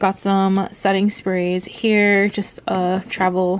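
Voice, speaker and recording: Noticeable background noise sits behind a woman's voice. She speaks at a medium pitch with monotone, flat intonation. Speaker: lifestyle vlogger. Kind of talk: casual vlog talk to camera. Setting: at home.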